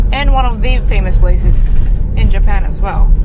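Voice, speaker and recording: Dry sound with no echo, under loud background noise. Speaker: travel vlogger. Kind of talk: casual travel commentary.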